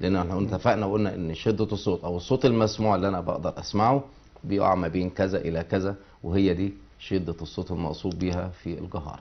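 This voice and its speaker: A man with a very deep, low voice talks fairly fast, his pitch moving up and down in a normal way. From Egypt. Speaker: physics teacher. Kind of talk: lecture. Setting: TV studio. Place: studio. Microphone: lapel.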